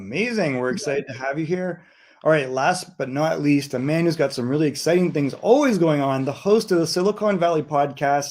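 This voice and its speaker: A man talks at a fairly quick pace with a Canadian accent. He has an ordinary speaking voice. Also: fairly high pitch for a man, ordinary pitch variation. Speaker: event host. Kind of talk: event hosting.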